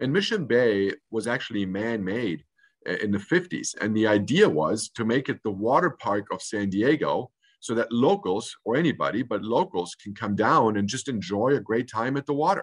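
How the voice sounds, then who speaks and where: The background is quiet as a man speaks at a moderate pace. His intonation is lively. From Munich, Germany, then California from age 13. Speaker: hotel general manager. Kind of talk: interview. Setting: video call. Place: office. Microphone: video call.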